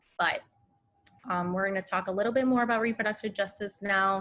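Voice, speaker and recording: A woman speaks in an unremarkable speaking voice. Her pitch is medium and her intonation fairly even. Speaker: community organizer and presenter. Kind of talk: webinar presentation.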